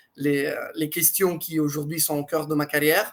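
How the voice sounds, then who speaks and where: Speaking with a slight Italian accent, a man talks at a fairly quick pace. His pitch is fairly high and his intonation monotone and flat. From Italy. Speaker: blockchain executive. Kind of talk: interview.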